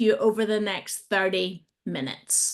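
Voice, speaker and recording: A woman speaks at a fairly slow pace with a British accent. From Britain. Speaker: agile trainer and coach. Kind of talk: webinar presentation. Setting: online video call.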